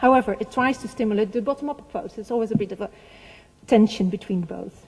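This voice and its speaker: Woman with a Dutch accent, fairly high pitch and ordinary pitch variation. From Netherlands. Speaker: heritage organization representative. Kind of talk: conference speech. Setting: seminar with audience. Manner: halting.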